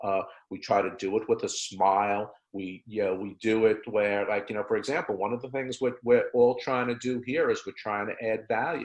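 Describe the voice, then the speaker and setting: A man's normal speaking voice at a medium pitch, with fairly even intonation and a moderate pace. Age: 60s. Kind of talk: webinar discussion.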